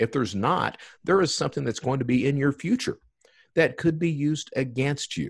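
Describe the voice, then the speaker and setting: This man's voice sits at a medium pitch with vocal fry. The recording is very clean, with a silent background. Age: 50s. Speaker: podcast host. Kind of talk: casual chat.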